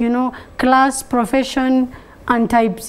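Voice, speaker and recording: Against noticeable background noise, a woman talks at a moderate pace in a high voice. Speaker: blogger and social media enthusiast. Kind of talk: TV talk show interview.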